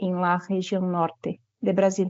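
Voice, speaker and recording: Speaking at a very slow pace, a woman has a Brazilian accent. Her pitch sits in the medium range. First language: Portuguese (speaking Spanish). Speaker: university professor. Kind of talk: presentation at an online forum. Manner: halting, with fillers.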